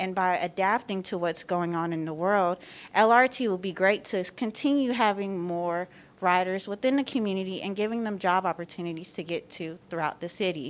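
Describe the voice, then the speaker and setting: Speaking at a fairly quick pace with an American accent, a woman has a normal speaking voice of medium pitch and ordinary pitch variation. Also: very clean recording, silent background. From US South, southwest Atlanta. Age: 20s. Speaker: public commenter, small business owner. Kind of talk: public comment at board meeting. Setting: public board meeting.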